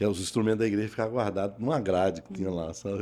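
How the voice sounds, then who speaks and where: With a dark, mellow tone, a man talks using ordinary pitch variation. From Brazil, Pernambuco. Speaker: pastor and former radio announcer. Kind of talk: testimony interview.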